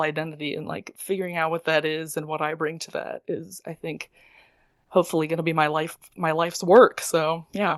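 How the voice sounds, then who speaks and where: With a fairly quick pace and fairly low pitch, this woman has an unremarkable speaking voice, recorded with a dry, close sound with no echo against a quiet background. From US Midwest (Michigan border area). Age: 20s. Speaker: opera singer. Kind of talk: interview. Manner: casual, filler-heavy.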